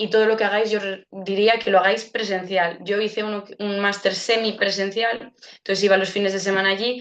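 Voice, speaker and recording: A woman speaks at a fairly quick pace in a medium pitch, her intonation monotone and flat, with hardly any pauses. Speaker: speech therapist giving a webinar. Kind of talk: webinar Q&A. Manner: fast.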